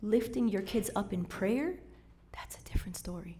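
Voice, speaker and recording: A woman's somewhat breathy, animated voice swings very widely in pitch at a moderate pace. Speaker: church youth speaker. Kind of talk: talk to church servants.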